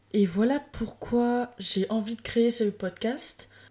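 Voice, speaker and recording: A woman speaks with a dark, mellow tone. Her pitch is fairly high. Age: 20s. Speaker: podcast host. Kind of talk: casual solo monologue. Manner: animated. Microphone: new microphone.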